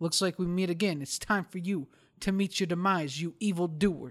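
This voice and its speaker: This is a put-on character voice, gruff and at a middle pitch. It moves at a moderate pace. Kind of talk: theatrical. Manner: menacing, grandiose.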